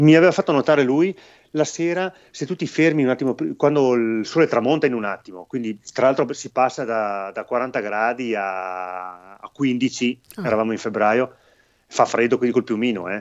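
Here is a man with an ordinary speaking voice. He talks at a moderate pace in a medium pitch. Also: lively intonation. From northern Italy, Belluno province. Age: 50s. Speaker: baker and ultrarunner. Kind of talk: casual interview. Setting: live video stream.

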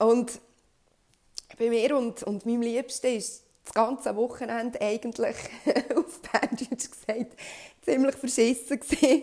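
A woman speaks at a high pitch and a fairly slow pace, with long, frequent pauses. Her tone is dark and mellow, her intonation fairly even, and her loudness swings widely. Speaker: podcast host. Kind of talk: personal monologue.

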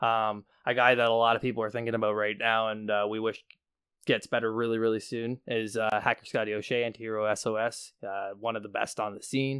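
A man with a Canadian accent talks at a fairly quick pace in a medium pitch, his intonation monotone and flat, on a very clean recording with a silent background. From Hamilton, Ontario, Canada. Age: 20s. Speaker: professional wrestler. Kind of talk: casual interview chat.

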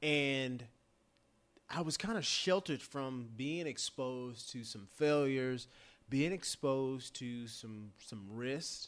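An unremarkable speaking voice belongs to a man who talks at a fairly slow pace with medium pitch and ordinary pitch variation, on a very clean recording with a silent background. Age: 40s. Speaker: former college quarterback and football broadcaster. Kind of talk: casual chat.

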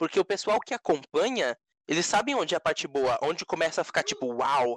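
A man speaks in a normal speaking voice, fairly high, with lively intonation and a fairly quick pace. The background is quiet, and the sound is dry and close, with no echo. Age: 20s. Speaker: podcast co-host. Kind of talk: casual chat.

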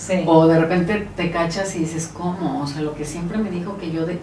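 A woman with a fairly low pitch talks at a moderate pace and fairly even intonation. Both noticeable background noise and audible room echo come through. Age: 50s. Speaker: natural therapist. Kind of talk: casual chat.

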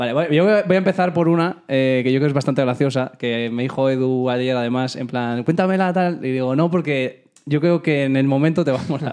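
With hardly any pauses, a man talks at a fairly quick pace in an ordinary speaking voice, using ordinary pitch variation. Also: fairly high pitch for a man. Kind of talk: casual chat. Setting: home studio.

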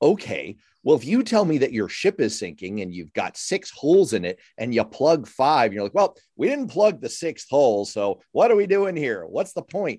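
Vocal fry runs through a dark, mellow tone with very wide pitch swings. The sound is dry and close with no echo, on a very clean recording with a silent background. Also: man, fairly high pitch for a man, moderate pace. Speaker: radio host. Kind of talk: political roundtable discussion.

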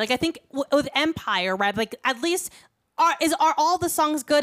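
A woman at a moderate pace, animated in tone with lively intonation, in a dry, close sound with no echo. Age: 20s. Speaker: podcast host. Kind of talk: casual chat.

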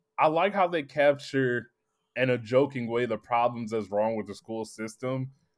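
An ordinary speaking voice with ordinary pitch variation. The pace is moderate. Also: man, medium pitch for a man. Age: 30s. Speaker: podcast co-host. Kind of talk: casual chat.

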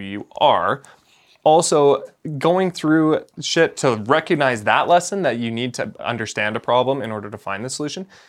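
At a moderate pace and with ordinary pitch variation, an ordinary speaking voice delivers the words. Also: man, very clean recording, silent background. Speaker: podcast co-host. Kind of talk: casual chat.

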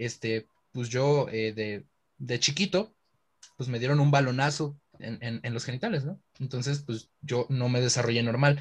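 Somewhat breathy, a man with a Mexican accent talks at medium pitch and a fairly slow pace, with ordinary pitch variation. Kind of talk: casual chat.

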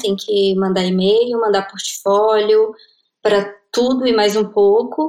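A woman has an ordinary speaking voice at a fairly high pitch. She talks at a fairly slow pace. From Brasília, Brazil. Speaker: designer and freelance marketer. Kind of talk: interview.

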